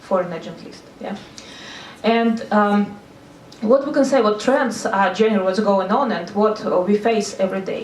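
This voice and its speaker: A woman speaks at a moderate pace and medium pitch with ordinary pitch variation. Noticeable background noise and audible room echo are present. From Russia, Saint Petersburg. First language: Russian. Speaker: NGO consultant. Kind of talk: seminar talk. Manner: halting.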